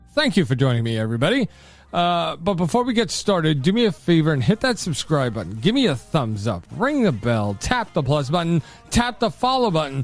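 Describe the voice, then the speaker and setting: Music plays in the background as a man with an American accent talks at a fairly quick pace, his pitch swinging very widely. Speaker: podcast host. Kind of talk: casual podcast monologue.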